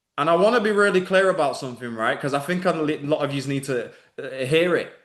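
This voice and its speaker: A man with a Mancunian accent speaks at a high pitch and a moderate pace, with ordinary pitch variation. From northern England, Manchester. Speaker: online business coach. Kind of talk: live webinar masterclass. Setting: live video stream. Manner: animated.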